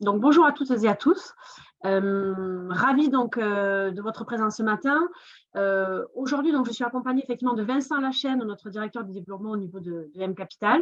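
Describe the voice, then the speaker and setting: A woman with a southern French accent speaks at a moderate pace and fairly high pitch, her intonation lively and her loudness swinging widely. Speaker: investment fund business developer. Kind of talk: webinar presentation.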